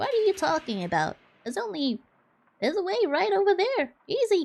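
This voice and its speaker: A squeaky, put-on character voice at a high pitch and a fairly quick pace. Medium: game stream. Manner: cheerful, cocky.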